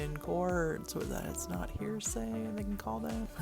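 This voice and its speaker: Music plays in the background as someone speaks at a moderate pace. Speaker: tech and marketing content creator. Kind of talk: informal tips narration.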